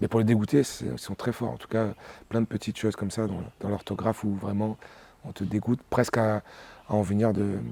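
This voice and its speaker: A man with a Réunion accent talks at a fairly quick pace in a fairly low pitch, with a dark, mellow tone and fairly even intonation. He takes long, frequent pauses, and the sound is dry and close with no echo. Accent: Réunionese French. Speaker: singer. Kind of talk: interview. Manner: halting, many hesitations.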